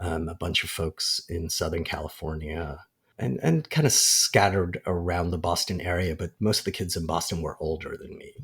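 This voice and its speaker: A man with an American accent speaks at a moderate pace in a very deep, low, somewhat breathy voice, his intonation fairly even but his loudness swinging widely, on a very clean recording with a silent background. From Kuwait, then UK boarding school and Jordan. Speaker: filmmaker. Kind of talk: podcast interview. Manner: hesitant, many fillers and restarts.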